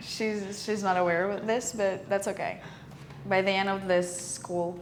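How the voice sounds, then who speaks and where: Against audible room echo, a woman with a Ukrainian accent speaks at a moderate pace and a medium pitch, her intonation monotone and flat. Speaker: film student, podcast co-host. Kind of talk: casual chat. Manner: halting.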